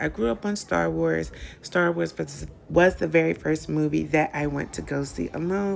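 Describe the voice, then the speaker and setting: At a moderate pace, a woman talks while music plays behind her. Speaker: planner and journaling vlogger. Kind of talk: casual travel vlog voiceover.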